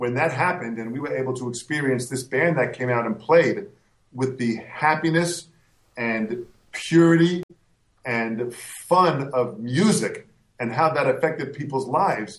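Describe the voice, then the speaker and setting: This man's somewhat breathy voice sits at a medium pitch, moving at a fairly slow pace with ordinary pitch variation. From US, Italian-American household. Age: 50s. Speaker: drum educator and clinician. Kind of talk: interview. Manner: animated.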